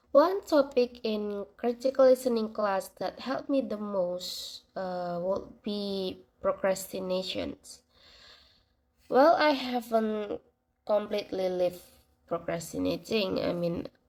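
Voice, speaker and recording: A non-native accent at a very slow pace. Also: woman, medium pitch for a woman. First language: not English. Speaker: university student. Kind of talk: class assignment reflection monologue. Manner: hesitant, with fillers.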